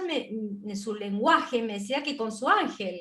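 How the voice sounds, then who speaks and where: The woman's voice sits at a high pitch. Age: 60s. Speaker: spiritual interview host. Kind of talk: interview conversation.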